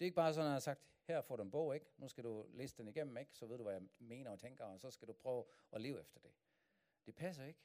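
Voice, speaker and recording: A man speaks at medium pitch with lively intonation. His pace is fairly quick. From Germany. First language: German (speaking Danish). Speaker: pastor. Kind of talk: sermon. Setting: church.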